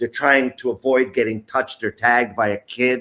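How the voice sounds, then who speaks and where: The speaker has an unremarkable speaking voice with an American accent. The pace is moderate and the intonation fairly even. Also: man. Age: 60s. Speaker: youth soccer coach. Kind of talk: interview.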